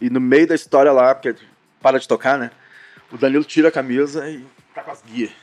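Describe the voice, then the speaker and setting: A man of medium pitch speaks at a fairly quick pace in a monotone, flat intonation, with big swings in loudness and long, frequent pauses. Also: dry, close sound with no echo. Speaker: rock band singer and guitarist. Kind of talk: casual chat.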